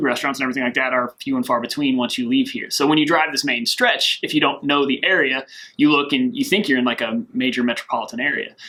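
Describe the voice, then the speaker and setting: In a Kentucky accent, a man with a fairly high pitch and a bright, sharp tone speaks at a very fast pace. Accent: Kentucky Southern American. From US South, rural south-central Kentucky. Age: 30s. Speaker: military recruiter. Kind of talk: interview. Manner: casual, many fillers and repetitions.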